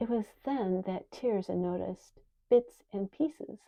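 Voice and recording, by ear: A text is read aloud. The voice sounds natural.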